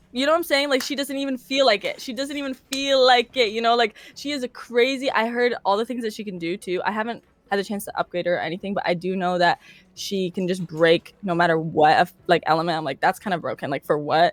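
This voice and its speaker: Loud and animated, a woman with fairly high pitch talks at a very fast pace with very wide pitch swings, in a dry, close sound with no echo. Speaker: streamer. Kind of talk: casual interview.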